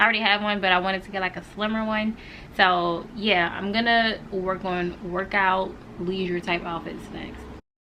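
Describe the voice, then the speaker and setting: Speaking in an American accent at a moderate pace, a woman keeps a monotone, flat intonation while her loudness swings widely. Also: medium pitch for a woman. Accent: American English, casual with y'all. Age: 20s. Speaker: lifestyle vlogger. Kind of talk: casual vlog talk to camera. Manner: casual, chatty.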